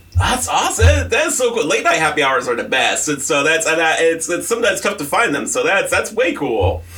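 A man talks at a fairly quick pace with an animated tone and hardly any pauses. Audible room echo and noticeable background noise fill the recording. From US, military brat (moved around). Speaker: radio host. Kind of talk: casual chat. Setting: radio studio.

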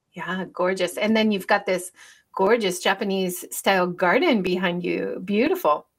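A woman in a normal speaking voice, medium pitch with ordinary pitch variation, at a moderate pace. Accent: American. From United States. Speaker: podcast host, former university teacher. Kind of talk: casual interview chat. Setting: video call, livestreamed.

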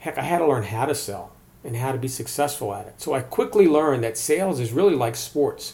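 A man with an American accent speaks at a fairly quick pace in a fairly high, dark, mellow, somewhat breathy voice. His intonation is lively, and his loudness swings widely. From Maryland, US. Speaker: sales podcast host. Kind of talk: solo podcast monologue.

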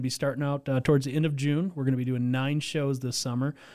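This man has a normal speaking voice with an American accent. His pitch is fairly high and his pace fairly quick. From Mid-Michigan, US. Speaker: volunteer event organizer. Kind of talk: casual interview. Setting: radio studio.

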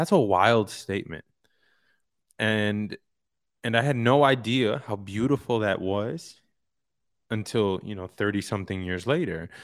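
With a New York accent, the speaker talks at a fairly slow pace with long, frequent pauses in a very clean recording with a silent background. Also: man, fairly low pitch for a man, ordinary pitch variation. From Queens, New York City. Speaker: actor and author. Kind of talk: interview.

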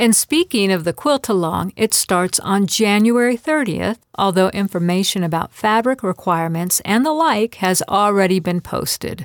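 In a plain, everyday voice, a woman speaks at a moderate pace with medium pitch and lively intonation, recorded very cleanly against a silent background in a dry, close sound with no echo. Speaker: podcast host and quilt fiction writer. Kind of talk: reading aloud a short story and interview.

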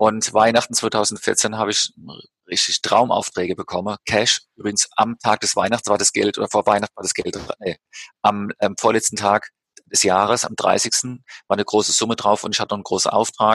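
A man's fairly low voice, dry and close with no echo, at a moderate pace in a flat monotone. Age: 50s. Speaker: life coach and feng shui consultant. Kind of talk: interview. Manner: hesitant with fillers.

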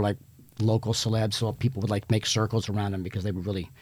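A man with an American accent speaks at a fairly low pitch. His voice is somewhat breathy, and his intonation is fairly even. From Virginia, Hampton Roads area. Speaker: talent agency executive. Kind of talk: casual chat. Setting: studio.

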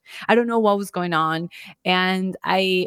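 Speaking at a moderate pace with a slight Colombian accent, this voice keeps a fairly even intonation in a very clean recording with a silent background and a dry, close sound with no echo. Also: woman. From Florida (Orlando), Colombian-born. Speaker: podcast host. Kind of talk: solo monologue. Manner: casual, relaxed.

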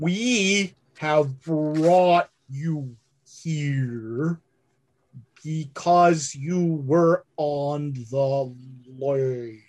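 Putting on a character voice, a man speaks fairly high in pitch at a very slow pace, leaving long, frequent pauses. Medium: actual play. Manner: halting, repetitive, fragmentary.

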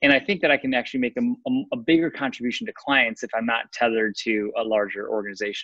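A man at a very fast pace, with hardly any pauses. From US Midwest, Chicago. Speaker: nonprofit founder and navy veteran. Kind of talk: casual interview. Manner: halting, many fillers and repeats.

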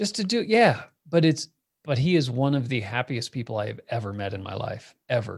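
Recorded very cleanly with a silent background, a man with an American accent speaks at a medium pitch in a somewhat breathy voice, his pitch swinging very widely. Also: fairly quick pace. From US Southwest (Phoenix, Arizona). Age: 40s. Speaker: tech company founder. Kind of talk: casual interview chat.

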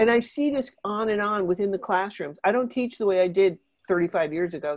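A woman with an unremarkable speaking voice talks at a fairly quick pace, in a medium pitch with ordinary pitch variation. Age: 50s. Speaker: teacher and plant-based diet coach. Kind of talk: interview.

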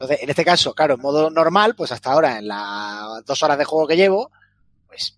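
Very fast and fairly high-pitched, a man's voice comes across dry and close, with no echo. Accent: Castilian. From Spain. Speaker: video game podcast panelist and streamer. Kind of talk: casual chat.

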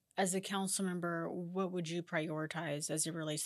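In a very clean recording with a silent background, a woman with a plain, everyday voice speaks fairly quickly at a fairly low pitch, her intonation fairly even. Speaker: podcast host. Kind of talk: interview.

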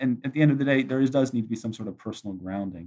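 A man speaks at a medium pitch with lively intonation. His is an ordinary speaking voice. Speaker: graduate student. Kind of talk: casual chat.

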